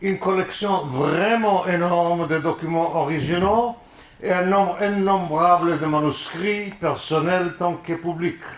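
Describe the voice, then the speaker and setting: A man's high-pitched, very slow speech with fairly even intonation, amid audible room echo and noticeable background noise. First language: not French (speaking French). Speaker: musicologist, lecturer. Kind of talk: lecture. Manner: halting.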